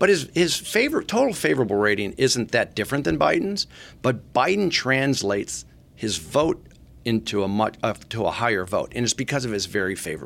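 With an American accent and vocal fry, a man of medium pitch talks fairly quickly, his pitch swinging very widely. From Michigan. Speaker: political pollster. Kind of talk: podcast interview.

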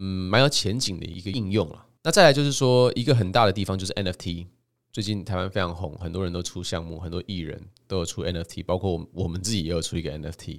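Over a very clean recording with a silent background, a man with a very deep, low pitch speaks at a fairly quick pace. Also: ordinary pitch variation. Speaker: podcast host and crypto author. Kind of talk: solo podcast monologue presenting his book. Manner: casual, frequent filler particles.

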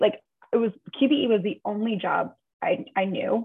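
A woman speaks with an American accent. Her pitch is fairly high, with ordinary variation. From New York, Long Island. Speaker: insurance underwriting executive. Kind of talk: interview.

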